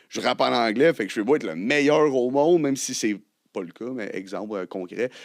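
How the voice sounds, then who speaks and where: Against a quiet background, a man speaks fairly quickly in an ordinary speaking voice. His pitch is medium, with ordinary pitch variation. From Quebec, Côte-Nord. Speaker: rapper. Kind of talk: casual chat.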